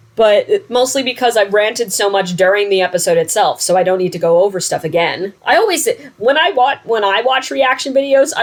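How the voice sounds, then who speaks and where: This speaker talks with an American accent. The delivery is fairly quick. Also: woman. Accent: New Jersey accent, comes out at times. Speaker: reaction video host. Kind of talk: casual reaction chat. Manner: rambling, casual with fillers.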